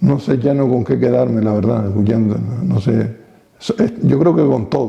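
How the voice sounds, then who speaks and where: A man with a plain, everyday voice and medium pitch speaks at a moderate pace with lively intonation. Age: 60s. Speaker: retired local TV pioneer. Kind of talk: interview.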